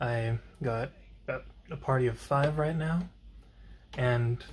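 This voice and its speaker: Over light background noise, a man speaks at a medium pitch, somewhat breathy, with fairly even intonation. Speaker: vlogger. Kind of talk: casual vlog monologue. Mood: relaxed, easygoing. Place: home room. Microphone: phone near.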